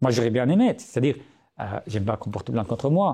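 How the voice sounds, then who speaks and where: Against a quiet background, the voice is somewhat breathy with a dark, mellow tone and an Arabic accent. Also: man. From Syria. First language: Arabic (speaking French). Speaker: writer and journalist. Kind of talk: podcast interview. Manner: hesitant, many fillers.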